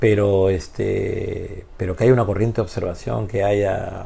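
A man talks very slowly, his words carrying a clear room echo beneath a noticeable layer of background noise. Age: 50s. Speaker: basketball coach. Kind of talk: interview conversation. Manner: halting.

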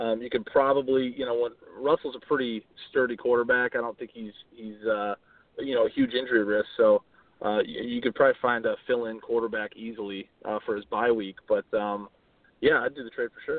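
A man speaking at a fairly quick pace, with big swings in loudness. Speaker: fantasy football champion and business development manager. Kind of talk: interview.

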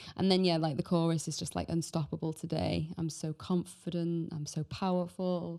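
In a British accent, a woman speaks with a dark, mellow tone and fairly low pitch, her intonation monotone and flat. The recording is very clean and the background silent. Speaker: podcast host. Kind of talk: casual chat.

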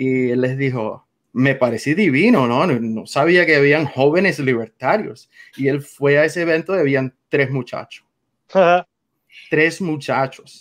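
A man with a Cuban accent at a fairly slow pace, fairly high in pitch, against a quiet background. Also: ordinary pitch variation. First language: English (speaking Spanish). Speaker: political activist. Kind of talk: interview.

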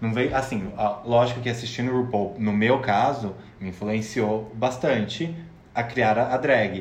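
This man has a plain, everyday voice pitched in the medium range. He speaks at a fairly slow pace with fairly even intonation. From interior of São Paulo state, Brazil. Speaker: drag performer and podcast co-host. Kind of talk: casual chat.

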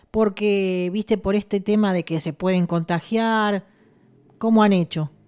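With an ordinary speaking voice, a woman talks at a fairly slow pace and with fairly even intonation. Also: medium pitch for a woman, very clean recording, silent background. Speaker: radio host. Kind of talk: radio interview.

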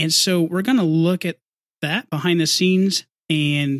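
This man has a plain, everyday voice, fairly high in pitch. He talks at a moderate pace, and the sound is dry and close with no echo. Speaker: podcast host. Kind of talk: casual interview chat.

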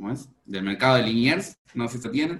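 With lively intonation at a medium pitch, a man speaks in a normal speaking voice. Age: 30s. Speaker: restaurant owner. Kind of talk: interview.

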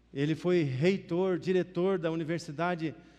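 Speaking at a fairly slow pace, a man has a high pitch and a dark, mellow tone. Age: 50s. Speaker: pastor. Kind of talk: sermon. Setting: church.

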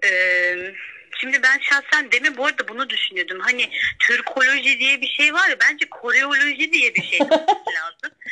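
In a raised, projected voice, a woman speaks with a high pitch, a bright, sharp tone and very wide pitch swings at a moderate pace. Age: 20s. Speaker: university student. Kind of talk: casual chat.

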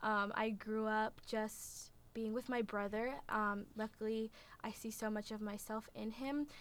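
With a Midwestern accent, a woman speaks fairly slowly at a fairly high pitch in a monotone, flat delivery. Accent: American Midwest. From Indiana, US (born in Russia). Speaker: adoptee sharing personal story. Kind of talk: personal testimony interview.

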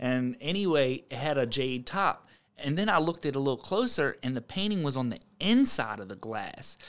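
A man with a plain, everyday voice and fairly high pitch talks at a fairly quick pace with lively intonation and hardly any pauses, on a very clean recording with a silent background. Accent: American. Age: 30s. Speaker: podcast host. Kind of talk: casual chat. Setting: studio.

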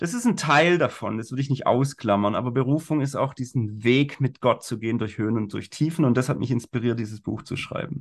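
A man talks in a normal speaking voice at medium pitch with ordinary variation. He barely pauses, and the background is quiet. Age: 40s. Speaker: life coach and corporate trainer. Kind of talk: casual interview. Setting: video call.

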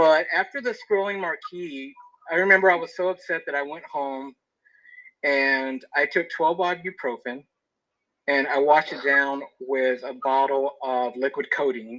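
Speaking at a fairly slow pace, a man has an unremarkable speaking voice. His pitch is fairly high, with ordinary variation. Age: 40s. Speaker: podcast guest. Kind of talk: personal testimony. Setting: phone call.

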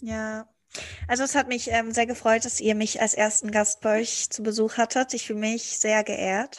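A woman's fairly high-pitched, flat monotone voice at a moderate pace against a quiet background. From Germany. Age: 20s. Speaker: guest, student-age friend. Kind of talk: casual chat.

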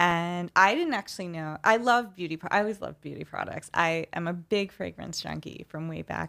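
In a very clean recording with a silent background, a woman with a slight New York accent talks at a fairly quick pace with hardly any pauses, her fairly low pitch varying in an ordinary way, her tone bright and sharp, and her loudness swinging widely. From New York City, Queens. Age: 40s. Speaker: publicist. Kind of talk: casual interview chat.

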